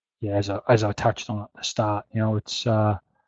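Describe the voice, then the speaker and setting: A man with an Australian accent mumbles at a medium pitch. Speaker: horse racing betting tipster. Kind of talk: webinar Q&A. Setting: live webinar. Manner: halting, many fillers; mumbling.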